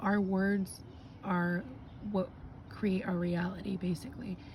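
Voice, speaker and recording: Her tone dark and mellow and somewhat breathy, a woman speaks at medium pitch and a moderate pace with monotone, flat intonation. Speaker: spiritual card reader. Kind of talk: casual talk to camera. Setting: outdoors.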